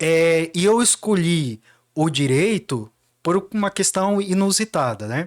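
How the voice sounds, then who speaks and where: Speaking very slowly, a man with a high pitch uses lively intonation in a very clean recording with a silent background. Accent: Cuiabá. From Mato Grosso, Brazil (Baixada Cuiabana). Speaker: lawyer. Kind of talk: podcast interview.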